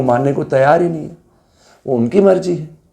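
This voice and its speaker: Audible room echo surrounds a dark, mellow tone with ordinary pitch variation. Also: man. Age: 70s. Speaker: yoga teacher. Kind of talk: lecture.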